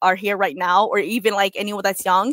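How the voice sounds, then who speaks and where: A woman with an American accent at a very fast pace, dry and close with no echo. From Wisconsin, US Midwest. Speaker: MC and DJ. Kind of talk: casual chat. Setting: live-streamed video call. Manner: casual, filler-heavy.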